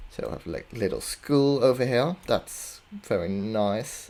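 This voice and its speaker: Very slow speech comes from a man with a non-native accent. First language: not English. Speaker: video game commentator. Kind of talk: casual gameplay commentary. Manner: hesitant.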